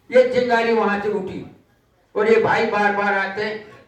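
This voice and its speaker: A man's voice with audible room echo. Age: 80s+. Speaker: war veteran. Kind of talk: public speech. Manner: animated.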